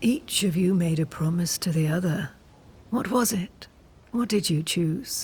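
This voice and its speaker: At a moderate pace, a female-sounding voice performs a put-on character voice at medium pitch. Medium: video game. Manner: calm, cryptic, knowing.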